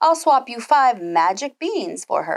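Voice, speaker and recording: A woman speaks in a put-on character voice, croaky and high-pitched, with very wide pitch swings. Her pace is fairly slow. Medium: read story.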